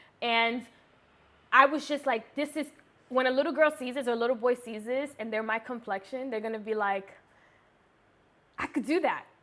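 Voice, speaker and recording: A woman's high-pitched, bright, sharp voice, animated in tone, at a fairly quick pace with ordinary pitch variation. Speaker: YouTuber, beauty vlogger. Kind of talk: casual chat, story time.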